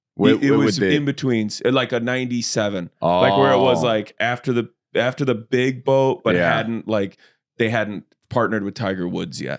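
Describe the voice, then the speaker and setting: With an American accent, a man talks at a moderate pace in an unremarkable speaking voice, medium in pitch with ordinary pitch variation, on a very clean recording with a silent background. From Illinois. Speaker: comedian. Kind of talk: casual podcast conversation.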